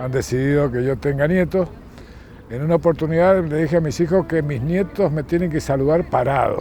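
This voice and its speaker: Noticeable background noise fills the recording. Over it, a man speaks at a moderate pace. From Argentina, San Juan / Mendoza (Cuyo). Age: 60s. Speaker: war veteran. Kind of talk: interview testimony.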